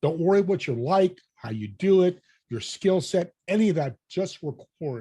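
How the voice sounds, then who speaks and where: The voice is somewhat breathy and animated in tone, with very wide pitch swings. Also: man. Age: 60s. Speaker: podcast host and business networker. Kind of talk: interview conversation.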